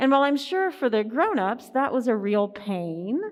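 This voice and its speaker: A woman with an Appalachian accent talks at a high pitch with lively intonation. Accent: Appalachian Southern US. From US South, southeastern Kentucky (rural Appalachia). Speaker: minister. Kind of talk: sermon.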